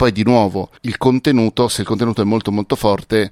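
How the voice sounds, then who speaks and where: Fairly quick speech from a man with a fairly low pitch, in a dry, close sound with no echo. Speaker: podcast expert and author. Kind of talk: casual chat. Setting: video call. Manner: animated.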